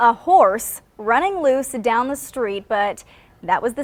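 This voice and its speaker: Speaking at a fairly slow pace, a woman uses an ordinary speaking voice with a fairly high pitch. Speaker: news anchor and reporter. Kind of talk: TV news anchor read. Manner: upbeat.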